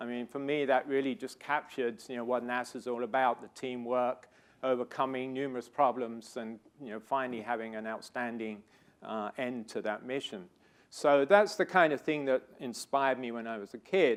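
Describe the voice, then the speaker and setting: The speaker has a British accent, a moderate pace, ordinary pitch variation, and big swings in loudness. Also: man, medium pitch for a man. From Britain. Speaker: scientist and research director. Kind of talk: lecture. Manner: hesitant with fillers.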